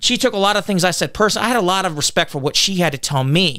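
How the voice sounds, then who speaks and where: A man talks very fast in a high, raised and projected voice with a bright, sharp tone. His intonation is lively, and the recording is very clean with a silent background. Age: 40s. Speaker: political candidate. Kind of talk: podcast interview. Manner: loud.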